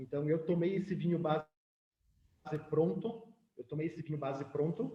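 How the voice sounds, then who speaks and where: With a normal speaking voice, a man talks at a fairly quick pace and fairly high pitch, his pitch varying in an ordinary way. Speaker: winemaker giving a lecture. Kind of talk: lecture.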